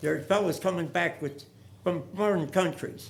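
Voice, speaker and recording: A man with an American accent and vocal fry at a moderate pace, with ordinary pitch variation and audible room echo. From US Midwest, St. Louis area. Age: 90s. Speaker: war veteran speaking at public forum. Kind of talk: public comment speech. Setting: council meeting chamber. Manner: halting; earnest, pleading.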